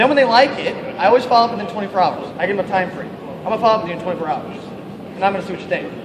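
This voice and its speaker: A man talks loudly and very fast in an animated, high-pitched voice. The room echoes audibly, and there is noticeable noise in the background. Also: ordinary pitch variation. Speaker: network marketing distributor. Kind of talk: motivational talk.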